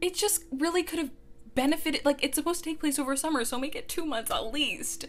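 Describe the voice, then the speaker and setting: At a very fast pace, a woman speaks with an extremely high pitch. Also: ordinary pitch variation. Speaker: book reviewer. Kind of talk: rant review. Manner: animated.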